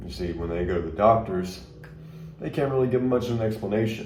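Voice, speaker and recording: Fairly quick speech from a man, ordinary pitch variation, noticeable background noise. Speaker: ghost tour guide. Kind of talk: ghost tour narration audition.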